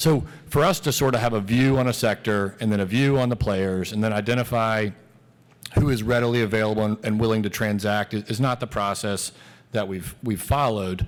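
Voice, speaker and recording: Fairly even intonation carries words spoken at a fairly quick pace. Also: man, fairly low pitch for a man. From US South, Savannah, Georgia. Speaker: company executive. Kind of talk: Q&A answer at shareholder event. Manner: repeats words often.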